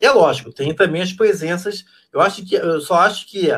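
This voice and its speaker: A man's high voice at a moderate pace. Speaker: literature professor. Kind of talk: casual chat. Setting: video call.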